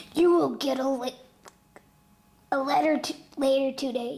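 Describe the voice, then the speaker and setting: A woman puts on a raspy character voice pitched high. She keeps a moderate pace. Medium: short film. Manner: flat, creepy, unsettling.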